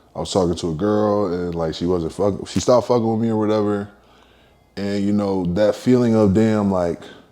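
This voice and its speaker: In a dark, mellow tone, the speaker moves at a fairly quick pace with fairly even intonation. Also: man, fairly low pitch for a man. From Philadelphia, US. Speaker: rapper. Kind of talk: interview. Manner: casual, filler-heavy.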